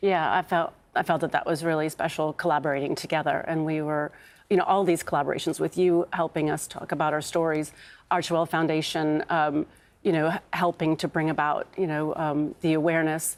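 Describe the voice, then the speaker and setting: Monotone and flat in intonation, a woman with an American accent speaks at a fairly quick pace and a fairly low pitch. The recording is very clean, with a silent background. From North America. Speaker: bereaved parent campaigner. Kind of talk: TV interview. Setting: TV studio sofa. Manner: halting.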